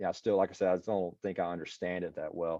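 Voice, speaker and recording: Speaking in an American accent, a man keeps his intonation fairly even. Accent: country, audible. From US South, East Texas. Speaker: city IT leader. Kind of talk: casual interview. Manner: casual, hesitant.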